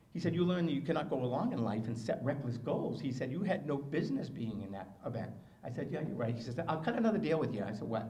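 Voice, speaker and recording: With an American accent, a man talks at a very fast pace and medium pitch with lively intonation, amid audible room echo and noticeable background noise. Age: 60s. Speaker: motivational speaker and marathon runner. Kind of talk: speech. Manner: animated.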